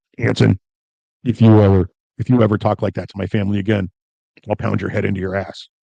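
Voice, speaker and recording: A man in a put-on character voice, booming and raspy at a fairly low pitch with fairly even intonation, speaks at a very fast pace yet with long, frequent pauses, in a dry, close sound with no echo. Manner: threatening.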